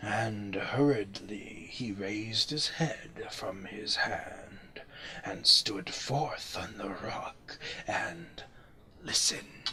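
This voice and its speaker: Whispering at a very slow pace, a man puts on a character voice. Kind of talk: gothic horror narration. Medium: read story. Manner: solemn, archaic, incantatory.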